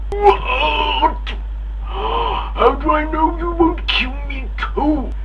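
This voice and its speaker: Using a put-on character voice, a man speaks at a very slow pace. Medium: solo performance. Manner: pompous.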